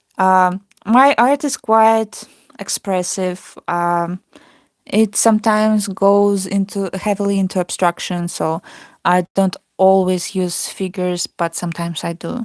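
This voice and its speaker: In a non-native accent, a woman speaks at a fairly slow pace and medium pitch with fairly even intonation, in a dry, close sound with no echo on a very clean recording with a silent background. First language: not English. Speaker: artist. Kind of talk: casual chat. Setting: live stream.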